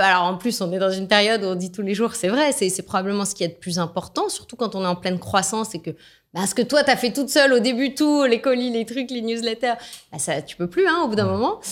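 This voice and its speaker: Very fast and animated, a woman speaks in a fairly high voice with lively intonation on a very clean recording with a silent background. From France. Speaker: business executive. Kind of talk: interview.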